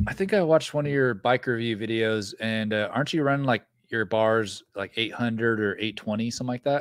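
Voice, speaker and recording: In a normal speaking voice, a man talks at a fairly quick pace with hardly any pauses, a medium pitch and ordinary pitch variation. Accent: American. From Northern California, rural. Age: 30s. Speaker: mountain bike YouTuber. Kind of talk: casual chat. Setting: video call.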